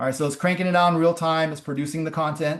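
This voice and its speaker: A man speaks in a high pitch for a man. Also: quiet background. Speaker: startup founder presenting AI tool. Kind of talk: webinar presentation with live demo. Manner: fast.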